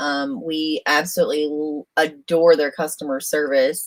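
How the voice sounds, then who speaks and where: A woman's fairly low voice with a Southern accent. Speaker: RV solar consultant, livestream co-host. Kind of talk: livestream Q&A. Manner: casual, halting with many fillers.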